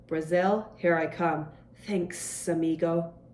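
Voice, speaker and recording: Hissing under a woman's put-on character voice, fairly low in pitch, at a fairly slow pace with monotone, flat intonation. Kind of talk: casual, jokey.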